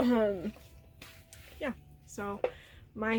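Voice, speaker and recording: Music in the background behind a woman with an American accent. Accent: country accent, comes out at times. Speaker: vlogger and mother. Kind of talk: casual home vlog.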